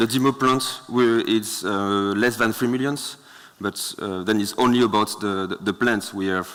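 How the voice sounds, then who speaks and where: A man talks with a French accent at a moderate pace. His voice is fairly low, with fairly even intonation. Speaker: startup founder. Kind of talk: Q&A with judges. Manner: halting.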